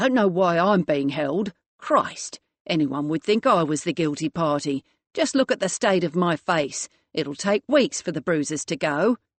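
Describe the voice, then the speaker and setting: A woman puts on a growling character voice at a fairly low pitch, with an angry tone. Her intonation is lively and her pace moderate. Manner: snarling, angry, indignant.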